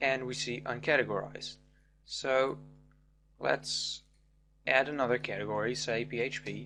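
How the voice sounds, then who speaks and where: A man with a non-native accent speaks at a moderate pace, leaving long, frequent pauses. Music plays in the background. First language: not English. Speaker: programming tutor. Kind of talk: tutorial.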